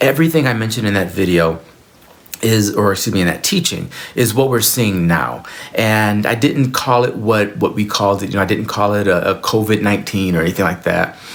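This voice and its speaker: The speech moves at a fairly quick pace with very even loudness against noticeable background noise. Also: man, fairly low pitch for a man, ordinary pitch variation. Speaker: spiritual teacher and former minister. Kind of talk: solo video talk to camera. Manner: halting, with frequent repetitions.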